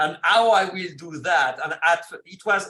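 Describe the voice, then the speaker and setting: Here a man speaks at a high pitch in a French accent, with a bright, sharp tone. He goes at a very slow pace with ordinary pitch variation. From France. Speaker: film director. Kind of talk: interview. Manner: halting, repeats words.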